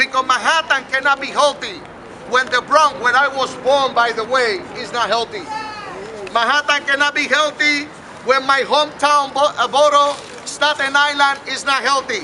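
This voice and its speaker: A man with a Puerto Rican accent speaks in a raised, projected voice at an extremely high pitch and a moderate pace. His intonation stays fairly even, with crowd noise in the background. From Puerto Rico. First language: Spanish. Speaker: mayoral candidate. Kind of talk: campaign speech. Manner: impassioned oratory.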